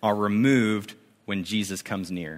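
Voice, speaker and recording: In a very clean recording with a silent background, a man with an American accent talks at a fairly low pitch. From US Pacific Northwest, Spokane, Washington. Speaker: youth ministry director, guest preacher. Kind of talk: sermon. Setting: church service with congregation. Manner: casual, with fillers.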